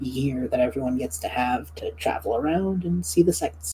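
With a dark, mellow tone and some vocal fry, a woman talks at a moderate pace. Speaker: podcast host and game master. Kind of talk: casual chat, tabletop roleplaying podcast.

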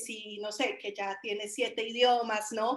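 A woman's voice at a fairly slow pace, with fairly even intonation. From Colombia, Caldas coffee region (Chinchiná). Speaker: software development manager and designer. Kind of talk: interview.

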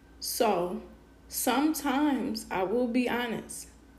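Audible room echo hangs around a woman talking in a fairly high voice. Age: 30s. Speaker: podcast host, mother. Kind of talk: casual personal monologue. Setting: live podcast stream.

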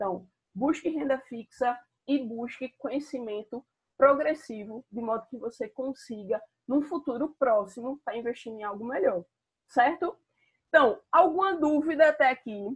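A woman's fairly slow delivery, with lively intonation and big swings in loudness. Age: 30s. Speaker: personal finance content creator. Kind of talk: live stream monologue. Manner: casual, with many fillers.

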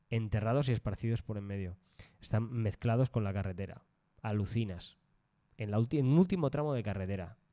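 On a very clean recording with a silent background, a man speaks at a fairly quick pace in a dark, mellow tone. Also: fairly low pitch for a man, ordinary pitch variation. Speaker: travel podcast co-host. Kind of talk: casual chat.

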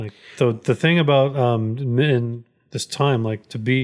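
A man's plain, everyday voice at medium pitch, fairly slow, with ordinary pitch variation. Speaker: podcast co-host. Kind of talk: casual chat.

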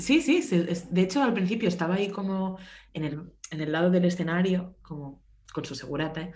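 A fairly low, somewhat breathy woman's voice at a fairly quick pace, ordinary pitch variation and big swings in loudness, with audible room echo. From Spain, Barcelona. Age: 20s. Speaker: music tour photographer. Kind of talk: casual chat.

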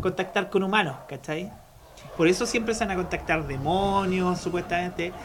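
A man with a Chilean accent speaks at a high pitch and a moderate pace. There is noticeable background noise. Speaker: podcast host. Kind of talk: casual chat.

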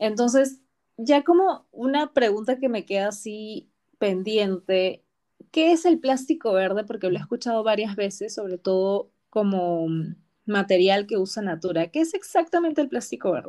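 Fairly high-pitched woman's voice with a dark, mellow tone, very wide pitch swings and a moderate pace, in a very clean recording with a silent background. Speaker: podcast host. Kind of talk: interview.

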